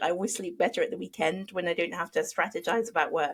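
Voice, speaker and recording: A woman with a British accent talks at medium pitch with ordinary pitch variation. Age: 40s. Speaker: podcast host. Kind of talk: podcast interview.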